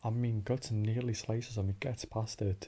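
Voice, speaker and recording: Somewhat breathy and dark and mellow in tone, this man's voice sits at a fairly low pitch with fairly even intonation. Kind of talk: analytical discussion of a story, theory talk. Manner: whispered, calm, relaxing.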